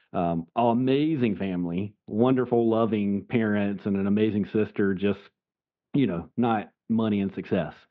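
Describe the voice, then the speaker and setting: A man with a Southern US accent speaks at a fairly low pitch with ordinary pitch variation. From US South, South Carolina. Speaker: legal nurse consultant. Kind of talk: podcast interview. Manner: casual, conversational.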